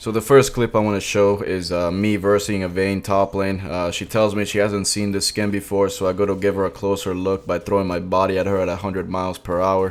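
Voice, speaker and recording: Spoken with a Spanish accent, the voice moves at a fairly quick pace. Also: man. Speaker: gaming YouTuber. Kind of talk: gameplay commentary. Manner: casual, comedic storytelling.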